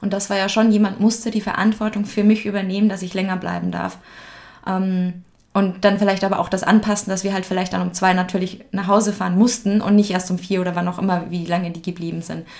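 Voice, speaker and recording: This voice is somewhat breathy and goes at a very fast pace. Its intonation stays monotone and flat. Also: woman, medium pitch for a woman. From Upper Bavaria, Germany. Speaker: podcast guest. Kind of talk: casual interview.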